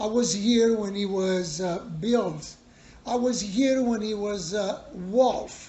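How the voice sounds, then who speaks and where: Speaking at a very slow pace with an Italian accent, a man talks at a high pitch with ordinary pitch variation. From Italy. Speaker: bar owner. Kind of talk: interview. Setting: in a bar.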